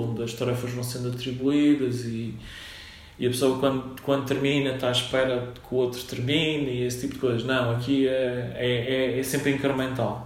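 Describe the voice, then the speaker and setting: At a moderate pace, a man talks in a monotone, flat intonation at medium pitch, with noticeable background noise and audible room echo. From Madeira, Portugal (Funchal). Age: 40s. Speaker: software company founder. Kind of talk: interview. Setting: at his company office. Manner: halting, many repetitions and fillers.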